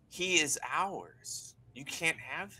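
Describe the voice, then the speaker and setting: A man performs. He uses a put-on character voice. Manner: menacing, possessive.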